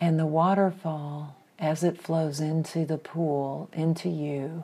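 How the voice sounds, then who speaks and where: A woman speaks very slowly in a soothing, dark, mellow voice, her pitch very deep and low and her intonation flat and monotone. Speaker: meditation guide. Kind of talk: guided visualization meditation, gentle second-person imagery. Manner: slow, soothing, unhurried pacing with breath cues; warm, nurturing and affirming.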